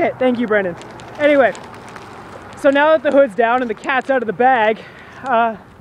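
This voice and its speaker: Amid noticeable background noise, a man with an extremely high pitch and ordinary pitch variation talks at a fairly quick pace, with long, frequent pauses. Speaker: vlogger. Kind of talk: casual chat. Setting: outdoors. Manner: loud.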